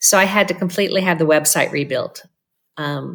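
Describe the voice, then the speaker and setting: Her pitch is very deep and low, with ordinary variation. The woman speaks at a moderate pace. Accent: American. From California. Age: 60s. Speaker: glass artist and business owner. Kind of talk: interview conversation.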